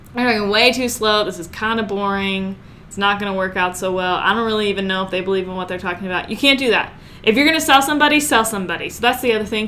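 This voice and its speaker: A woman talks at a very fast pace, her loudness swinging widely. The room echo is audible. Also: medium pitch for a woman, ordinary pitch variation. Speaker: online marketing coach. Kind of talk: tutorial. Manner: animated.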